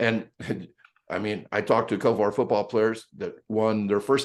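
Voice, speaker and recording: Over a quiet background, a man speaks at a medium pitch and a moderate pace. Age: 60s. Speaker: speed coach. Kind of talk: podcast interview.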